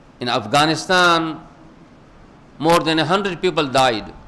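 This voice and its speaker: Against noticeable background noise and audible room echo, a man with a high pitch talks at a fairly slow pace. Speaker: preacher. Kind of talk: sermon.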